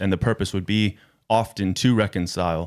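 On a very clean recording with a silent background, a man with an American accent speaks with fairly even intonation. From United States. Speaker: youth worker. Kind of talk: casual interview. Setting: studio.

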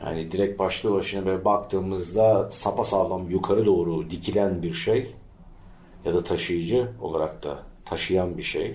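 Amid audible room echo, a man with a very deep, low pitch and vocal fry speaks at a fairly slow pace with lively intonation. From Turkey, İzmir (Bostanlı). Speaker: podcast co-host. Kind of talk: casual chat.

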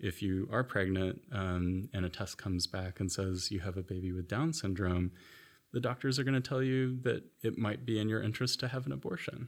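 On a very clean recording with a silent background, a speaker with an American accent talks at a moderate pace with lively intonation. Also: man. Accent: noticeable American. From US (Florida, moved around South/Midwest). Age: young. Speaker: anthropologist, professor. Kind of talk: interview. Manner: repeats words, hesitant fillers.

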